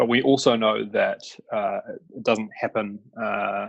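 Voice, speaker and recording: Speaking at a fairly slow pace, a man talks with a New Zealand accent. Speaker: climate energy advisor. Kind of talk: webinar presentation. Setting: online webinar. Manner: halting, many fillers.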